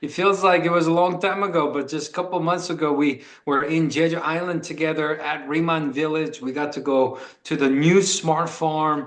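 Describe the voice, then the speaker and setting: Fairly even intonation, with noticeable background noise and audible room echo. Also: man, fairly high pitch for a man, moderate pace. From Korea. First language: Korean. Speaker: sales executive. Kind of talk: motivational talk on video call. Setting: video call.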